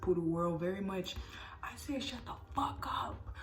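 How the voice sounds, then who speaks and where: A woman with a medium pitch speaks in an animated tone amid audible room echo and noticeable background noise. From US Midwest, Missouri. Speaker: vlogger. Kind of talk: personal storytelling. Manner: fast.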